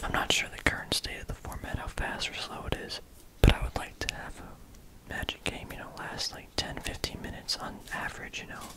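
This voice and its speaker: The speaker whispers at a moderate pace. Background noise is noticeable. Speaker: ASMR content creator. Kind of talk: ASMR whispered ramble about a card game; casual talk to camera. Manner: whispered.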